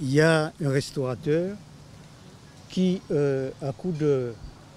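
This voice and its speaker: Dark and mellow in tone, a man's fairly high voice moves with ordinary pitch variation. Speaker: local resident. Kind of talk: documentary interview.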